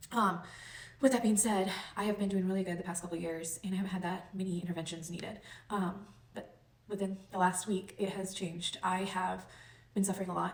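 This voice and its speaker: The speech runs at a very fast pace, somewhat breathy and monotone, with flat intonation. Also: woman. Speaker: chronic illness vlogger. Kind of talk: personal testimony. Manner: hesitant, many ums; occasional stutter.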